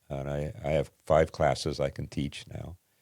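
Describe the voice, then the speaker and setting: A man talks with noticeable vocal fry. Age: 80s+. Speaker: retired pastor. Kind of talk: casual interview.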